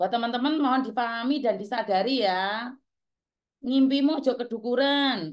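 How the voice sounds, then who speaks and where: Shouting loudly over a quiet background, a woman with a strong Javanese accent keeps a high pitch, ordinary pitch variation and a moderate pace. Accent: Javanese-inflected Indonesian, strong. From Java, Indonesia. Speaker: vlogger, former migrant domestic worker; vlogger. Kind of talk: casual monologue to viewers. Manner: loud, sounds like shouting; harsh, not soft. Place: home room. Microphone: phone near.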